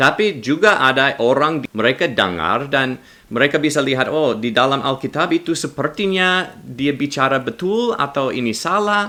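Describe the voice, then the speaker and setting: A man with a non-native accent speaks at a moderate pace and medium pitch, his pitch swinging very widely, on a very clean recording with a silent background. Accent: non-native Indonesian. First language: English (speaking Indonesian). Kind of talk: religious commentary video. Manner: halting, non-fluent with self-corrections.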